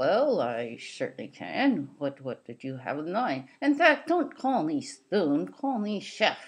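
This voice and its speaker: This is a cartoonish character voice with a fairly high pitch. It moves at a fairly slow pace with hardly any pauses. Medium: puppet show. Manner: cheerful, friendly.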